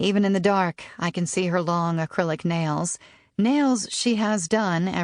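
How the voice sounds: It is a natural reading voice. Pitch variation is ordinary.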